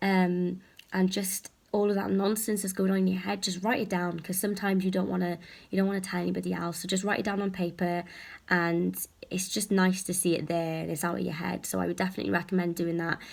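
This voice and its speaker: Soft-spoken, a woman with a fairly low voice talks at a very fast pace in a monotone, with flat intonation. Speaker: health anxiety vlogger. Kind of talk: casual vlog talk. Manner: hesitant with many fillers.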